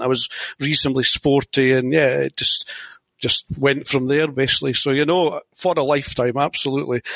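A man speaks at medium pitch and a fairly quick pace, with ordinary pitch variation. The sound is dry and close, with no echo. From Scotland. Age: 50s. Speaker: tennis format inventor. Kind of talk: interview.

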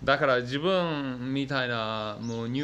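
With light background noise, a man talks in a non-native accent. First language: not Japanese (speaking Japanese). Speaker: YouTuber; language learner vlogger. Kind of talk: vlog monologue. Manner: hesitant, many fillers. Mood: reflective, slightly frustrated. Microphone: phone near.

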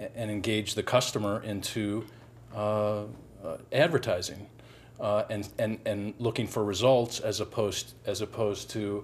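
At a moderate pace, a man with a fairly low voice speaks using fairly even intonation. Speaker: guest. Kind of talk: panel discussion answer. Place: studio. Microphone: lapel.

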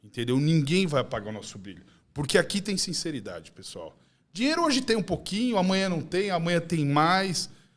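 Pitched high, a man talks at a fairly quick pace in an animated tone. His pitch swings very widely and his loudness swings a lot. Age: 40s. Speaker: gym owner; podcast guest. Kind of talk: podcast chat. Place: studio. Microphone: studio mic.

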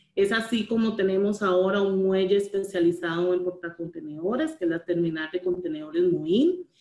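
With hardly any pauses, a woman talks at a moderate pace with ordinary pitch variation, her voice carrying audible room echo over a quiet background. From Costa Rica. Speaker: port authority manager; presenter. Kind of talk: webinar presentation. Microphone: video call.

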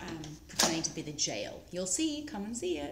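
There is audible room echo as a woman talks at a moderate pace with lively intonation. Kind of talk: casual vlog chat. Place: garage. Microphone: phone near.

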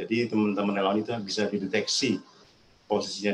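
A man's fairly low, monotone voice with flat intonation, moving at a fairly quick pace over noticeable background noise. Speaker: disaster management official. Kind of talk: webinar presentation. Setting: video call.

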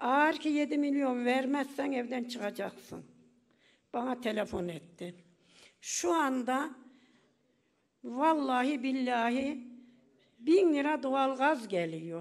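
Against a quiet background, a woman speaks at a very slow pace with long, frequent pauses. Her high voice has lively intonation. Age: 80s+. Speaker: pensioner. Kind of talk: speech at public meeting. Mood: aggrieved, complaining about hardship. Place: hall. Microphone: podium.

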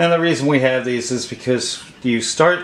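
Audible room echo surrounds a man speaking at a moderate pace with ordinary pitch variation. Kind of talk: tutorial. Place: kitchen.

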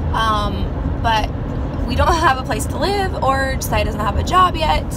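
A woman talks at a moderate pace while loud background noise carries on. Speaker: mom vlogger. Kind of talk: casual vlog chat. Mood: excited, sharing news. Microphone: phone near.

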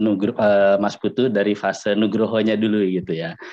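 A man speaks at a moderate pace in a normal speaking voice, his pitch fairly low, against a quiet background. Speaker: discussion host. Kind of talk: casual discussion. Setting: video call. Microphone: video call.

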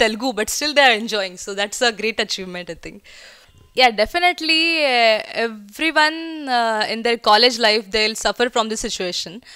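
Against a quiet background, a woman with a Marathi Indian accent speaks at a moderate pace and a fairly high pitch, her tone bright and sharp and her loudness swinging widely. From India, Pune (Maharashtra); Maharashtra. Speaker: film actress. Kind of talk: promotional interview. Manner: hesitant, frequent fillers. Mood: relaxed, chatty. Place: home room. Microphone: handheld.

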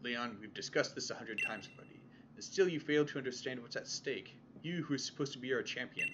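A man at a very fast pace, medium in pitch with ordinary pitch variation, over noticeable background noise. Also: big swings in loudness. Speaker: let's play gamer. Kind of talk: reading video game dialogue aloud. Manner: soft-spoken.

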